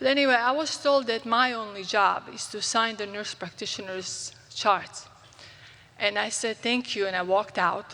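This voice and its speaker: A woman with a Croatian accent speaks at a fairly high pitch. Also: ordinary pitch variation, moderate pace. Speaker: physician. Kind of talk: conference talk. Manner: halting.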